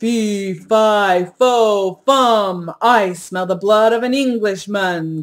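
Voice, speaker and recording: A put-on character voice bellows at a very slow pace and fairly high pitch on a very clean recording with a silent background. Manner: enraged, roaring.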